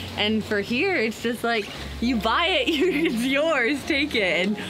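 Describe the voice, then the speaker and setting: A woman speaks in a high pitch with lively intonation. Noticeable background noise is present. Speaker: sailing vlogger. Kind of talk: casual vlog chat. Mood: excited, emotional, smiling. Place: boat. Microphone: camera far.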